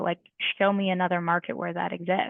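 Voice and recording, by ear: A woman talks at a fairly quick pace with vocal fry. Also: dry, close sound with no echo.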